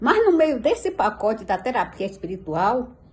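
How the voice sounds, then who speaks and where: A woman talks at a fairly slow pace. Her high pitch swings very widely. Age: 60s. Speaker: pastor. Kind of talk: testimony. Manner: animated.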